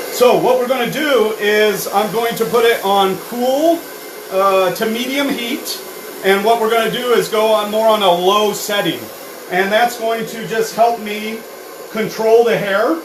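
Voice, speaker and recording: A man speaks loudly at a high pitch. Noticeable background noise and audible room echo fill the recording. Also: fairly slow pace. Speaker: hair care educator. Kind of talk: live product demonstration with Q&A. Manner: many fillers and hesitations.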